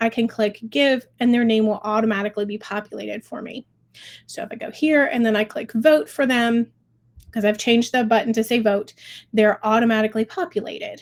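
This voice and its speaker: Speaking fairly quickly, a woman with a normal speaking voice uses a fairly high pitch and ordinary pitch variation. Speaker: fundraising software client experience director. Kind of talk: tutorial webinar.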